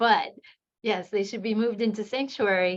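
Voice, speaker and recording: With an American accent, a woman speaks with ordinary pitch variation. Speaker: law professor. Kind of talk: academic seminar discussion. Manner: fast.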